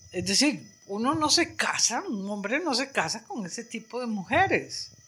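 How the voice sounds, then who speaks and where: Her tone bright and sharp, a woman speaks at a fairly slow pace with very wide pitch swings. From Costa Rica, San José (Barrio Amón). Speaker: retired art history professor. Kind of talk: interview. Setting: at her home. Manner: talkative.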